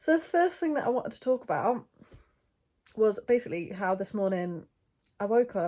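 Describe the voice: A woman talks at a moderate pace with a slightly mellow tone.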